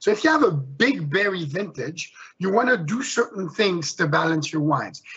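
Over noticeable background noise, a man with a high voice speaks at a moderate pace with lively intonation. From Switzerland. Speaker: winemaker. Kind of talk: panel discussion. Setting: video call. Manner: passionate.

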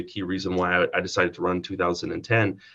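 Against a quiet background, a man speaks in a Canadian Prairie accent. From Saskatchewan, Canada. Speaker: provincial politician. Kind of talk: interview.

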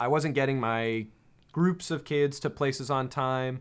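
In a very clean recording with a silent background, a man with an American accent speaks at a fairly slow pace in an unremarkable speaking voice, his medium pitch showing ordinary variation. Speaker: aerospace engineer. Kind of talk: casual chat. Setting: studio.

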